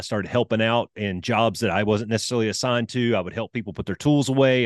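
Very fast speech with a dry, close sound, no echo and a quiet background. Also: man. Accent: Southern US. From Alabama, US South. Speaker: retired fighter pilot. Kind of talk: casual interview.

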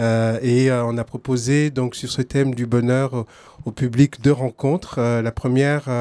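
A man of medium pitch speaks at a fairly slow pace in a dark, mellow tone with monotone, flat intonation and a dry, close sound with no echo. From Togo. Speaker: playwright. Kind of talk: interview. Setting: outdoors.

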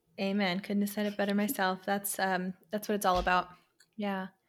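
With a US East Coast accent, a woman talks at a fairly quick pace on a very clean recording with a silent background. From Pennsylvania, US. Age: 20s. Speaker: occupational therapist and podcast host. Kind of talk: casual chat.

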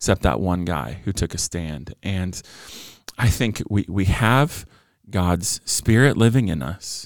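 A man with an American accent speaks very slowly, his very deep, low voice carrying vocal fry and lively intonation. The recording is very clean, the background silent. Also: dry, close sound with no echo. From Southern California (Orange County). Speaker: pastor and author. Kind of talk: interview conversation.

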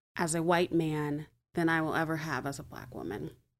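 Someone with an American accent speaks at a moderate pace on a very clean recording with a silent background. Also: woman. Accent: none noticeable. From Montgomery, Alabama, US South. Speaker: church member. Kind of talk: casual chat.

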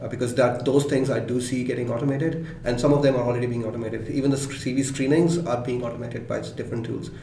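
Hardly pausing, a man speaks at a very fast pace in a medium pitch. His intonation is monotone and flat, with noticeable background noise. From Pakistan. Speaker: head of tech recruiting. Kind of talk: interview.

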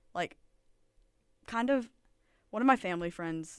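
A woman with an American accent, a fairly low voice and very wide pitch swings. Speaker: college radio co-host. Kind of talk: casual chat. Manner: animated.

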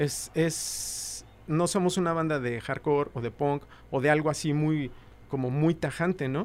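A man's fairly high voice at a fairly slow pace, with fairly even intonation. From Mexico City. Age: young. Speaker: rock musician. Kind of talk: casual interview chat.

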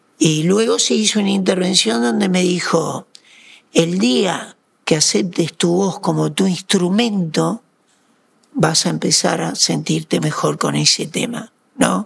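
A man with a Uruguayan accent at a fairly slow pace. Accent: Rioplatense Spanish (Uruguayan). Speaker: radio broadcaster and coach. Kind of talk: interview conversation.

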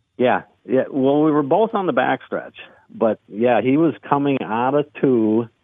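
A man with an Upper Midwest accent at a medium pitch, lively in intonation and fairly slow in pace. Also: very even loudness. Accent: Upper Midwest (Minnesota). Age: 60s. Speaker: race car driver. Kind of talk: casual interview.

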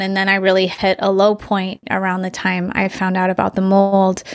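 An ordinary speaking voice from a woman, medium in pitch, at a moderate pace. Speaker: acupuncturist and detox educator. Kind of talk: interview chat.

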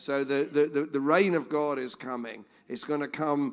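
A man speaks in a normal speaking voice at a moderate pace and medium pitch. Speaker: church member sharing a scripture. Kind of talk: sharing a word. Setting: church gathering with audience.

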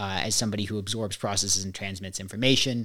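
A man at a very fast pace, in a very clean recording with a silent background. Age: 30s. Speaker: career coach and trader. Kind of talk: casual chat.

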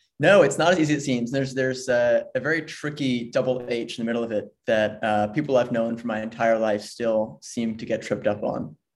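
With an American accent, a man talks at a fairly quick pace in an ordinary speaking voice, medium in pitch, with ordinary pitch variation. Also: hardly any pauses. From US, Philadelphia. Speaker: podcast guest. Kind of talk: podcast interview.

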